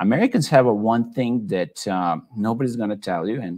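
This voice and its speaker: A man's lively intonation with a slight Serbian accent. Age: 40s. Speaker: tech entrepreneur. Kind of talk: online talk / presentation. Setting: office in Belgrade, online event. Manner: many filler words (uh, you know).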